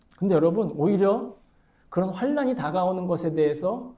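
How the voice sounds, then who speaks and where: The speaker's tone is animated. Audible room echo surrounds the voice. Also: man. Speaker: pastor. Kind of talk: sermon.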